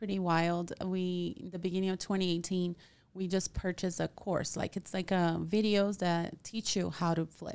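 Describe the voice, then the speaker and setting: A woman at medium pitch with a Portuguese accent, monotone and flat, at a moderate pace with hardly any pauses, on a very clean recording with a silent background. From Brazil. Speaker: real estate agent. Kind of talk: casual interview.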